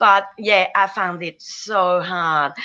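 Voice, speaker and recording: With a French Canadian accent, a woman talks in a bright, sharp tone. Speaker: business owner. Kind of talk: interview testimony.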